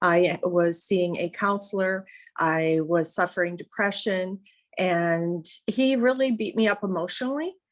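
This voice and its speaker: A woman speaks in a normal speaking voice at medium pitch and a fairly slow pace, with ordinary pitch variation, on a very clean recording with a silent background. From Canada. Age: 60s. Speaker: interviewee. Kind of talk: interview testimony.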